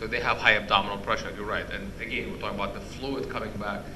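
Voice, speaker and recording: Both room echo and background noise are audible in this clip, the noise quite noticeable. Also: man. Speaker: sleep medicine professor. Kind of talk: lecture. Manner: halting.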